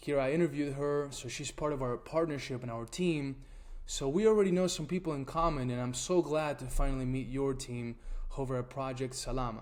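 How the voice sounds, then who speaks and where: The speaker has an Argentine accent. The pitch varies in an ordinary way. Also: man, fairly high pitch for a man. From Argentina. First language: Spanish. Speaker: nonprofit tool founder presenting. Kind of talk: webinar presentation.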